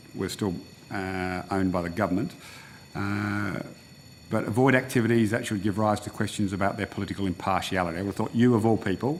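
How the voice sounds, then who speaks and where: A man with an Australian accent speaks at a very fast pace in a fairly low voice. His intonation is fairly even, and background noise is noticeable. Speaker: senator. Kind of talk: parliamentary questioning. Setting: Senate committee hearing room.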